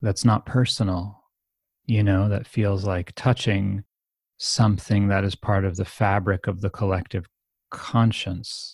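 A very slow, somewhat breathy delivery in an American accent, with fairly even intonation, long, frequent pauses and a very clean recording with a silent background. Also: man. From United States. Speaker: meditation teacher and author. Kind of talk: interview conversation.

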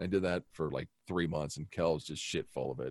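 A man's very deep, low voice with vocal fry at a very fast pace, with ordinary pitch variation. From Wyoming (Buffalo), raised partly in Las Vegas. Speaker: television news director. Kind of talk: casual chat.

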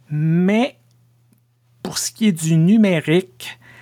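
Very slow speech from a man, dark and mellow in tone, with ordinary pitch variation. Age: 50s. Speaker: pastor and podcast host. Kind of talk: casual podcast monologue.

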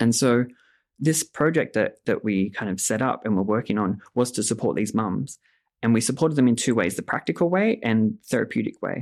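A man speaks in an Australian accent on a very clean recording with a silent background. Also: medium pitch for a man, ordinary pitch variation, fairly quick pace. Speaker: narrative therapy clinician. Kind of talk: interview.

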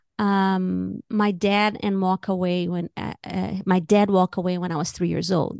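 A woman with a Brazilian accent, medium pitch, fairly even intonation, and a fairly slow pace, over a quiet background. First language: Portuguese. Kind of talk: casual interview chat.

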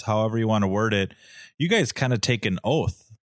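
A man with a Minnesotan accent speaks at a fairly low pitch with ordinary pitch variation. The sound is dry and close, with no echo. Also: very clean recording, silent background. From southern Minnesota. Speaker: co-host, duck hunter. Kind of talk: casual chat. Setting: home basement recording.

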